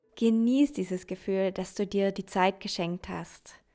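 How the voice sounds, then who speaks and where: A woman's gentle, calm tone at a medium pitch and very slow pace, music in the background. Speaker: meditation guide. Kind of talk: guided meditation. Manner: slow, soothing; gentle, calm, dreamy.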